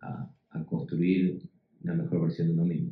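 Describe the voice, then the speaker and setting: A man with an Argentine accent. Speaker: educator, panel speaker. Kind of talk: panel discussion. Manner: halting, many fillers and repetitions.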